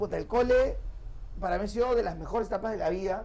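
In a room with audible echo, a man with a high pitch speaks at a fairly quick pace in a monotone, flat delivery. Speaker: radio host and magician. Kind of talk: casual interview chat.

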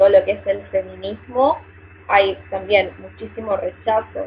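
With noticeable background noise behind her, a woman speaks in a Rioplatense accent. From Argentina, Buenos Aires. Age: 20s. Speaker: asexual activist. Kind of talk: casual panel discussion.

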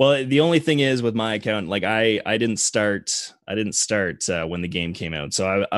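At a moderate pace, a man with a normal speaking voice and fairly low pitch talks with lively intonation over a quiet background. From Canada. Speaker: Twitch streamer. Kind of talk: casual chat.

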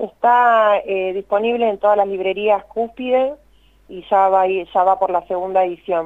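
A woman with an unremarkable speaking voice, fairly even intonation, and a fairly slow pace. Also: medium pitch for a woman. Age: 30s. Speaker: sex worker and union leader, author. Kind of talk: radio interview.

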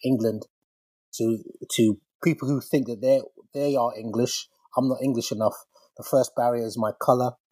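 A man with a dark, mellow tone and fairly even intonation, at a moderate pace with long, frequent pauses, in a dry, close sound with no echo. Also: medium pitch for a man. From Uganda. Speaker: poet. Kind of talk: interview. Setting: video call.

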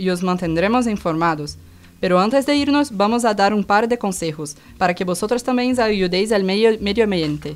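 With a Portuguese accent, a woman talks at a fairly slow pace with lively intonation. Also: very clean recording, silent background. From Brazil. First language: Portuguese (speaking Spanish). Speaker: student radio presenter. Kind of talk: scripted news presentation.

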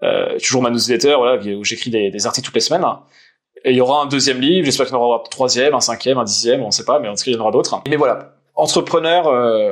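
At a very fast pace, a man speaks at medium pitch on a very clean recording with a silent background. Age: 30s. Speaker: author and entrepreneur, former poker player. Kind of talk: casual interview.

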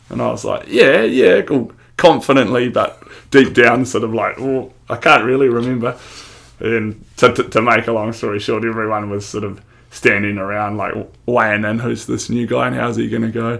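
A man with a New Zealand accent speaks at a moderate pace and medium pitch, with vocal fry and fairly even intonation. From New Zealand, Wanaka. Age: 30s. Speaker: professional snowboarder. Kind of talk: casual chat.

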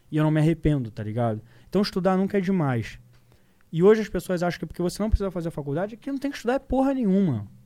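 Talking at a very fast pace, a man with a high pitch and a dark, mellow tone swings his pitch very widely on a very clean recording with a silent background. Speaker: fashion influencer. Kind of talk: casual chat.

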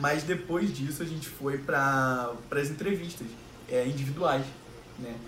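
With audible room echo, a man speaks in a bright, sharp tone with ordinary pitch variation. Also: fairly high pitch for a man, fairly slow pace. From Rio de Janeiro, Brazil. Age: 20s. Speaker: podcast host, digital artist. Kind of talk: casual chat.

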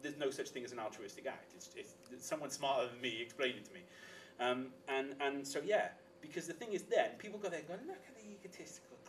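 A man with a fairly high pitch talks at a very fast pace, his intonation lively and his loudness swinging widely. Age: 30s. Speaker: bike shop and bar owner. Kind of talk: casual chat.

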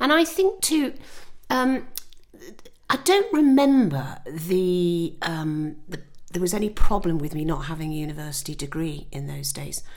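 A woman speaks at a fairly slow pace with very wide pitch swings. Her pitch is fairly low, and there is noticeable background noise. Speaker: podcast co-host, former journalist. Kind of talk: casual chat between old friends. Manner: animated, laughing, jokey.

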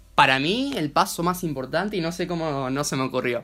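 Bright and sharp in tone, this is a man's voice. It sits at a fairly high pitch. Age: 20s. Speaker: entrepreneur and coaching student. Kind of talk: casual chat.

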